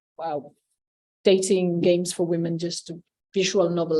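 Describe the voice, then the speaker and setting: Against a quiet background, a woman speaks at a fairly quick pace with a Spanish accent. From Spain. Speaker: game researcher. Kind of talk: academic talk. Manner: hesitant, many fillers.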